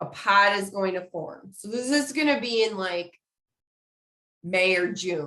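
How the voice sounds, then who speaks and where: Lively intonation and a bright, sharp tone mark the speech. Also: woman. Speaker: community engagement specialist, webinar presenter. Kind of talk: webinar lecture. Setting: online webinar. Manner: casual, conversational.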